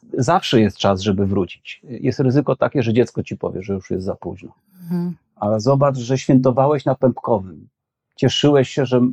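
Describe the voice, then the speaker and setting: The delivery has lively intonation at a moderate pace. It is an ordinary speaking voice. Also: man. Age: 40s. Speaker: social psychology professor. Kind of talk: conversational interview.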